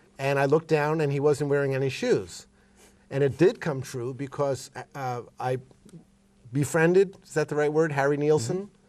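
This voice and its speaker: The man has a plain, everyday voice with a fairly high pitch, at a moderate pace. His loudness swings widely in a very clean recording with a silent background. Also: ordinary pitch variation. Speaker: session keyboardist. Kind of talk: interview.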